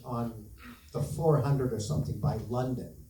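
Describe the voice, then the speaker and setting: A man speaks at a moderate pace with a Canadian accent. Audible room echo surrounds his voice. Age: 60s. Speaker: bereaved parent speaking at town hall. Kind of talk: public testimony.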